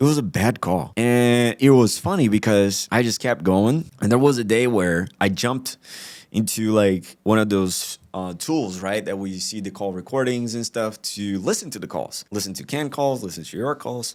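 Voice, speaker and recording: A man with a Brazilian accent, fairly low in pitch, at a moderate pace with ordinary pitch variation, hardly any pauses, on a very clean recording with a silent background. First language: Portuguese. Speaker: sales executive. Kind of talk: interview. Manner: casual, filler-heavy; animated.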